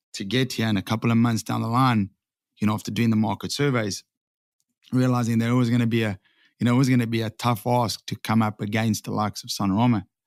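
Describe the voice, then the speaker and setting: Speaking with a South African accent, a man at medium pitch goes at a very fast pace in a monotone, flat intonation. The recording is very clean and dry, close with no echo, over a silent background. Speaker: sign franchise owner. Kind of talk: podcast interview. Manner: hesitant, repeats words.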